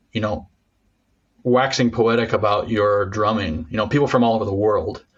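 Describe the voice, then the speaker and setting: Somewhat breathy, this voice moves through ordinary pitch variation. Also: man, moderate pace. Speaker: podcast host. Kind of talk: interview. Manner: stammering.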